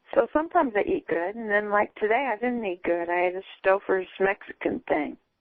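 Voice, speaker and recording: Speaking at a moderate pace, a woman with a fairly high pitch and lively intonation uses an ordinary speaking voice. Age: 60s. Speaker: caller seeking a psychic reading. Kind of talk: casual chat.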